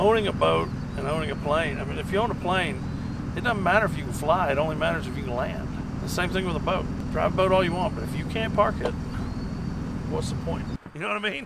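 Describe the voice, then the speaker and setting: Loud background noise runs under a dry sound with no echo. The speech comes at a very fast pace. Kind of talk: casual vlog chat. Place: boat. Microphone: camera far.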